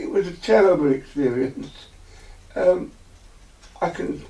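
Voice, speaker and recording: A man with a high pitch and an English accent, at a fairly slow pace with long, frequent pauses. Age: 80s+. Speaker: eyewitness. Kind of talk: testimony. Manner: halting, repeats words.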